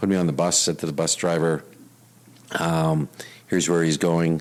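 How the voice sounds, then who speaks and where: A man speaks in a very deep, low pitch with a Canadian Prairies accent. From Canada, Winnipeg. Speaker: retired police officer and risk consultant. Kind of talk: interview. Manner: many fillers and repetitions.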